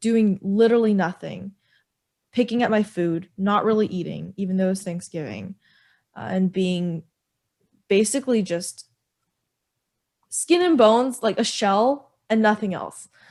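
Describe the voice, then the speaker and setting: At a moderate pace broken by long, frequent pauses, a woman talks in an animated tone at medium pitch with ordinary pitch variation. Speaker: podcast co-host. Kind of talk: casual chat. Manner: loud.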